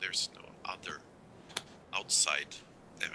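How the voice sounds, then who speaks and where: A man with a Swedish accent at a moderate pace. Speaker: zoology professor and author. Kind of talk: live call-in show interview. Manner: halting, with restarts.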